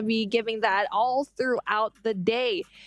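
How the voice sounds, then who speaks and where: Animated and fairly high-pitched, a woman speaks with a dry, close sound and no echo. Noticeable background noise runs underneath. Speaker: livestream host. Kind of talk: live commentary.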